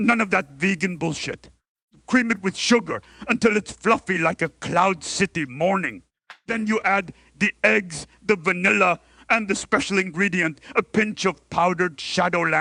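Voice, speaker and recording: A man puts on a gravelly character voice, raised and projected, at a high pitch. He keeps a moderate pace. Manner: eager, comic.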